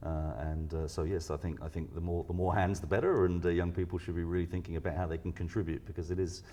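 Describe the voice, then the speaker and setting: Against a quiet background, a man with a British accent talks at a very fast pace, his very deep, low pitch held in fairly even intonation. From UK. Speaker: research scientist. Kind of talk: interview. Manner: halting, many fillers and repeats.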